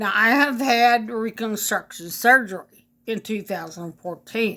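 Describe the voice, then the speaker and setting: A woman with fairly high pitch and a bright, sharp tone speaks at a fairly slow pace with ordinary pitch variation, in a very clean recording with a silent background. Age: 60s. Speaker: vlogger sharing health journey. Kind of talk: personal testimony to camera. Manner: halting, with many fillers.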